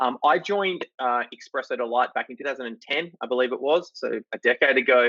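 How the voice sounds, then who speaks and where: A man with an Australian accent, medium-pitched, at a very fast pace. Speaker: company CEO. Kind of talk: interview. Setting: video call.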